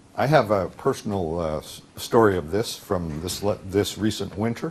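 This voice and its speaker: Lively intonation and big swings in loudness at a very slow pace. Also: man, fairly low pitch for a man. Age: 60s. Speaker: workshop teacher and author. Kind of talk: conference talk. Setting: conference stage with interpreter. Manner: halting with many fillers.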